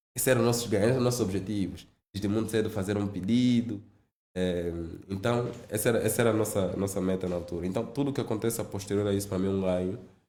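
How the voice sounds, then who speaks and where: Speaking at a very fast pace, a man with a fairly low pitch uses fairly even intonation and a dark, mellow tone, with audible room echo around him. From Angola, Zaire province. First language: Lingala and Kikongo (speaking Portuguese). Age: 30s. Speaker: finance executive. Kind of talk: podcast interview.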